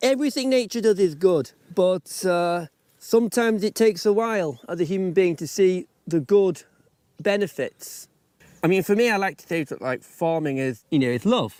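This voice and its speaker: High-pitched and lively in intonation, a man speaks at a moderate pace in a dry, close sound with no echo. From France (Brittany), English parents from York. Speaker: farmer. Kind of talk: casual interview. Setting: outdoors. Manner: halting.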